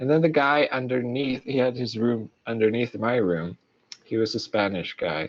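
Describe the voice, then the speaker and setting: A man with a Swedish accent speaks at a medium pitch. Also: ordinary pitch variation, moderate pace. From Sweden. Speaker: creative podcast co-host, illustrator. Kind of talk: casual chat. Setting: live stream. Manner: casual, many fillers.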